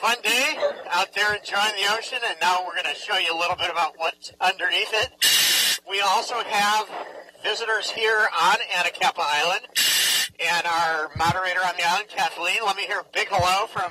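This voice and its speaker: A man speaks in a raised, projected voice at a moderate pace with ordinary pitch variation. The sound is dry with no echo, though noticeable background noise comes through. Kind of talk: live educational presentation. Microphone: headset.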